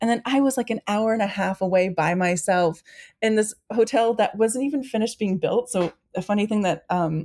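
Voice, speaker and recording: A woman with an American accent has a dark, mellow tone. She speaks at a moderate pace with ordinary pitch variation. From Maine, US Northeast. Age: 40s. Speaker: foundation staff member. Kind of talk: casual chat.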